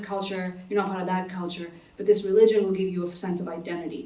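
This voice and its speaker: A woman speaks at a fairly quick pace. Audible room echo and noticeable background noise fill the recording. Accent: American. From United States, Pakistani immigrant family. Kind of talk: panel discussion. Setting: conference stage with audience. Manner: halting, many fillers and restarts.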